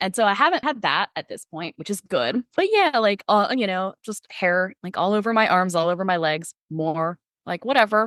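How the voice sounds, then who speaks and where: A woman with a medium pitch speaks at a moderate pace in an animated tone with lively intonation and hardly any pauses, the sound dry and close with no echo. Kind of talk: casual chat.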